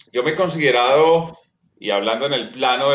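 A man talks at a moderate pace with a fairly high pitch. There is audible room echo. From Colombia, eastern Antioquia (Sonsón). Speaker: sports commentator and communications lecturer. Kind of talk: interview conversation. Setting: remote video stream.

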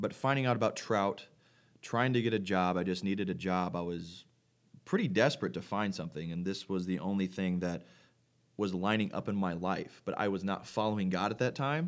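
An ordinary speaking voice with an American accent moves at a fairly quick pace. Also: man, fairly low pitch for a man, ordinary pitch variation. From Missouri, Farmington. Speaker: Bible camp intern, podcast co-host. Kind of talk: casual chat.

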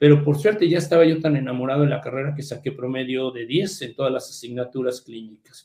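A man with a fairly high pitch talks at a very fast pace with hardly any pauses, his loudness swinging widely. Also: ordinary pitch variation. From Mexico City. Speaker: hematologist. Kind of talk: interview.

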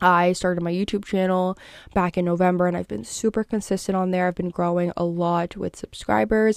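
An animated woman with an American accent, fairly low pitch, ordinary pitch variation and a fairly quick pace, on a very clean recording with a silent background. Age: 20s. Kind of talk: casual monologue.

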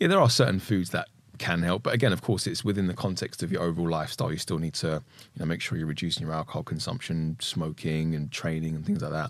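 At a very fast pace, a man with a very deep, low pitch speaks with ordinary pitch variation on a very clean recording with a silent background. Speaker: plant-based nutrition advocate. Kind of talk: casual interview chat. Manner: clear, purposeful, articulate.

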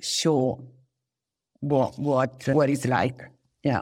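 Very slow speech in an Italian accent over a silent background in a very clean recording. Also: woman. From Italy, Tuscany (Arezzo). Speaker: tourism professional. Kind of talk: interview. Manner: halting.

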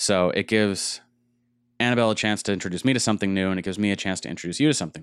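Delivered at a very fast pace with ordinary pitch variation, the speech has big swings in loudness in a very clean recording with a silent background. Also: man, fairly low pitch for a man. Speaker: podcast host. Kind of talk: casual chat. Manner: talkative, casual.

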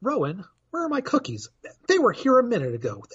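A man's put-on character voice, extremely high in pitch, at a fairly quick pace. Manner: acted, dramatic.

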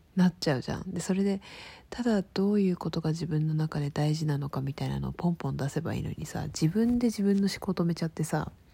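Talking at a very fast pace, a woman uses a fairly low, somewhat breathy voice with a dark, mellow tone and ordinary pitch variation. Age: 20s. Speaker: podcaster. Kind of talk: casual monologue. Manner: chatty, informal.

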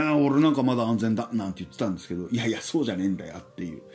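A man is speaking. His intonation is lively. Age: 40s. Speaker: podcast host. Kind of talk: solo monologue podcast. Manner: casual, filler-heavy.

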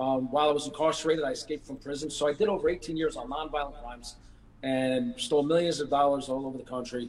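Fairly quick, fairly even delivery in an American accent. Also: man. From New York City, Brooklyn. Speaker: true crime author and victims' advocate. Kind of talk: interview. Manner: halting, many fillers.

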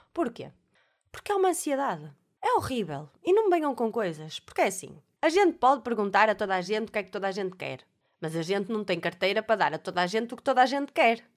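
Animated and very fast, a woman speaks with a fairly high pitch that swings very widely. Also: very clean recording, silent background. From Portugal, Alfena (Porto area). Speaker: podcast host. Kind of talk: casual monologue.

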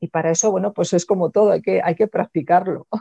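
A woman's medium-pitched voice with lively intonation, a dark, mellow tone, and a dry, close sound with no echo. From Spain. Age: 50s. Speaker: sex coach. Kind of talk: interview.

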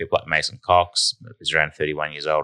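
A man with an Australian accent at a moderate pace, in a dry, close sound with no echo. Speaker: football podcast host. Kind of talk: casual banter, sports podcast. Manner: animated, jokey.

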